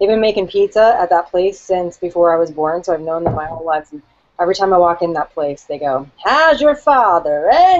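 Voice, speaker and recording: Talking at a fairly quick pace with a New Jersey accent, a woman uses lively intonation at a fairly low pitch. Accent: New Jersey, getting stronger. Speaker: marketing team member. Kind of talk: casual chat. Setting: video call.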